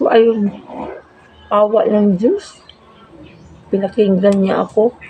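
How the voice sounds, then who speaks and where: A woman speaks at a medium pitch with monotone, flat intonation. Noticeable background noise runs underneath. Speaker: vlogger. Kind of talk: casual vlog storytelling. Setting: at home, eating meal on camera. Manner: halting.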